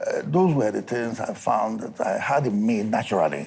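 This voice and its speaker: Noticeable background noise runs through the clip. Over it, a man talks at a moderate pace. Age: 80s+. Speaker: explorer and environmentalist. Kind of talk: interview answer. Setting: studio.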